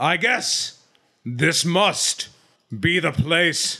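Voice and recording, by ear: Here a man adopts a put-on character voice. The pitch he uses is high.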